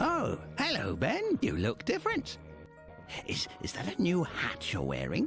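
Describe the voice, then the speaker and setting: Over clear background music, a put-on character voice moves at a moderate pace. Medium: game stream. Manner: rambling, chuckling, digressive.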